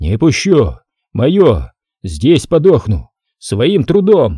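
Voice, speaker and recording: A man does a put-on character voice, raspy and at medium pitch. He talks very slowly with very wide pitch swings. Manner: frenzied.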